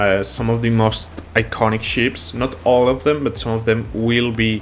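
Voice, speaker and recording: Over music in the background, a man with a non-native accent speaks at a medium pitch. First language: not English. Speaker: gaming YouTuber. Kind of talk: gameplay tutorial commentary. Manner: casual, halting with fillers.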